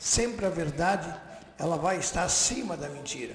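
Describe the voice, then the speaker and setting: A man's high-pitched voice comes through audible room echo, with noticeable background noise present. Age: 70s. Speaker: radio host. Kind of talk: political commentary. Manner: emphatic.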